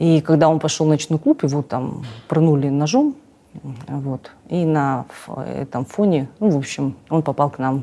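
A woman's very deep, low voice, dark and mellow in tone, fairly slow and fairly even in intonation, with big swings in loudness. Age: 40s. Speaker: cosmetologist and blogger; blogger. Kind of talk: interview. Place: studio. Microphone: lapel.

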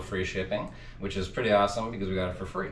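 A man speaks over loud background noise. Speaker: reseller. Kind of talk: casual vlog chat. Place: home room.

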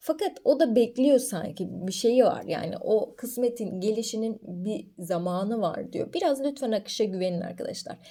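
On a very clean recording with a silent background, a woman speaks at a moderate pace in a dark, mellow tone with very wide pitch swings. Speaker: coffee fortune teller, video creator. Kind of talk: fortune reading monologue to camera.

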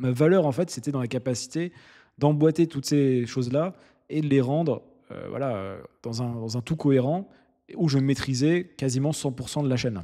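Against a quiet background, a man with a dark, mellow, fairly high voice talks at a moderate pace and takes long, frequent pauses. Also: ordinary pitch variation. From France, Nancy; Lorraine, France. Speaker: entrepreneur and YouTuber; YouTuber. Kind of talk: storytelling monologue. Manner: hesitant, many fillers. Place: home room. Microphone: studio mic.

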